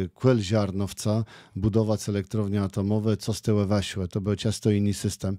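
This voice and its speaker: A man's fairly low, dark and mellow voice at a moderate pace, dry with no echo against a quiet background. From Kashubia, Poland. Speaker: local politician. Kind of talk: radio interview. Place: studio. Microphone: studio mic.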